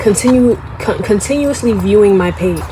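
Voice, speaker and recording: Noticeable background noise and audible echo from the room are present. Through them comes the voice of a woman. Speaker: YouTuber. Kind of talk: casual vlog monologue. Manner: casual, conversational.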